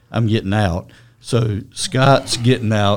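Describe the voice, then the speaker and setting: A man speaks at a very slow pace with fairly even intonation. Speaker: mason company owner. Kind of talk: casual interview.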